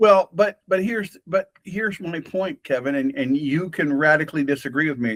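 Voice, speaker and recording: A man with an unremarkable speaking voice and a fairly high pitch talks at a moderate pace with hardly any pauses. His intonation is lively, and the sound is dry and close with no echo. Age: 60s. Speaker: podcast host. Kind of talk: casual conversation. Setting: having coffee with a friend.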